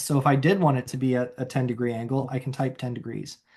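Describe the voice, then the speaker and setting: Using a normal speaking voice, a man moves through his words at a fairly quick pace. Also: quiet background. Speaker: software trainer. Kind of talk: tutorial. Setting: video call.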